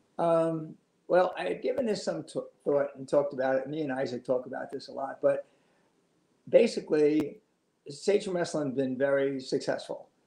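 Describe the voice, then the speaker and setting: A man with an American accent, a dark, mellow tone and a fairly high pitch, at a moderate pace with ordinary pitch variation, with audible room echo. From New York City (Astoria, Queens), then Long Island; New York. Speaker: retired high school wrestling coach. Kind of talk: oral history interview. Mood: warm, reflective. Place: home room. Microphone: video call.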